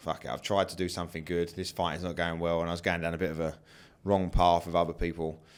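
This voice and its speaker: A man with a British accent and a very deep, low voice, talking very fast over a very clean recording with a silent background. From England. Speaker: martial arts fighter and coach. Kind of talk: interview. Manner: casual, animated.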